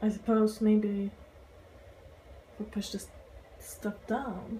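In a somewhat breathy voice, a woman speaks with monotone, flat intonation. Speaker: vegan cooking vlogger. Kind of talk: casual talk to camera.

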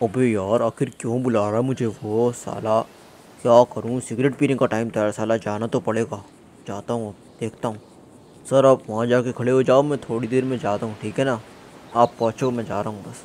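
Putting on a character voice, a man speaks at a moderate pace in a rumbling, medium-pitched tone with flat, monotone intonation. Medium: machinima. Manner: grumbling, lazy, irritated.

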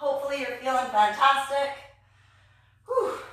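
A woman uses a raised, projected voice. Strong room echo surrounds her. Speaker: fitness instructor. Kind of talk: live workout instruction and counting. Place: gym. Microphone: camera far.

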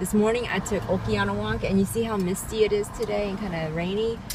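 Recorded dry with no echo, a woman talks with ordinary pitch variation over noticeable background noise. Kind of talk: casual vlog chat. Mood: animated, amused storytelling. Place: car. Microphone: phone near.

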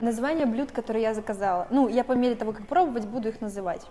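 A woman talks at a fairly quick pace. Light background noise can be heard. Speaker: food reviewer vlogger. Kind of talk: casual vlog chat. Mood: playful, joking, swearing. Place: cafe. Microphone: camera far.

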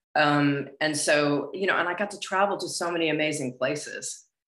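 Over a quiet background with audible room echo, a woman with an American accent speaks at a moderate pace in a very deep, low voice. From Los Angeles, US. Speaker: actress and former model; actress. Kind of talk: interview. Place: home room. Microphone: earbuds.

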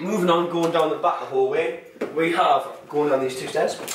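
Amid audible room echo, a man talks at a fairly quick pace and a fairly high pitch, with ordinary pitch variation.

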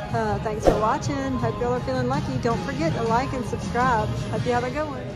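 Very fast speech over loud background music. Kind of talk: casual gambling commentary. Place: hall. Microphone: phone near.

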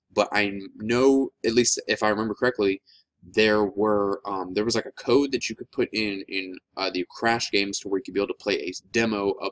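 Fairly even in intonation, a man's voice comes across dry and close with no echo. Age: 20s. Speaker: gaming YouTuber. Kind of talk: video game review. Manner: casual, many fillers like um.

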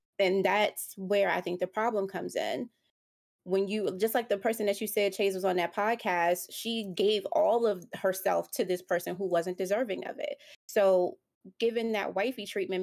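The recording is very clean, with a silent background. A woman with an ordinary speaking voice talks at a moderate pace and medium pitch, her intonation fairly even. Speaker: podcast co-host. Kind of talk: casual chat.

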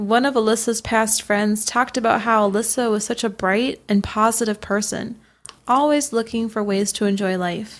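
On a very clean recording with a silent background, a woman with an unremarkable speaking voice talks at a moderate pace and fairly high pitch, her intonation fairly even. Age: 20s. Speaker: true crime podcast co-host. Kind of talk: scripted narration.

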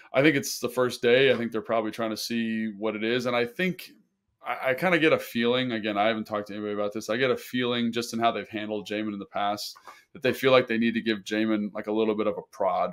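A man's very fast speech, with fairly even intonation, sits against a quiet background. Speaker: sports podcast co-host, former NFL tight end. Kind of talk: casual sports analysis chat. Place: home room. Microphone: earbuds.

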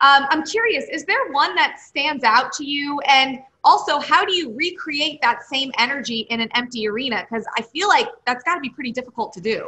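A woman with a high pitch talks at a fairly quick pace with hardly any pauses and very wide pitch swings. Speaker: sports TV host. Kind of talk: interview questions. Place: home room. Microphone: video call.

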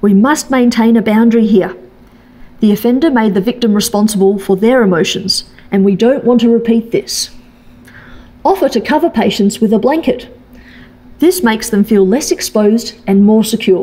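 A woman talks at a moderate pace with ordinary pitch variation, very even loudness, and long, frequent pauses. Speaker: presenter. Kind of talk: lecture. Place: hall. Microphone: podium.

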